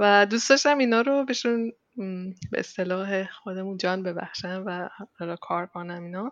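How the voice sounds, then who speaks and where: A woman speaks at medium pitch and a moderate pace. Her loudness swings widely, with ordinary pitch variation. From Iran, Chaharmahal and Bakhtiari province. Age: 30s. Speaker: 3D texture artist in animation. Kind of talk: casual interview. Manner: energetic.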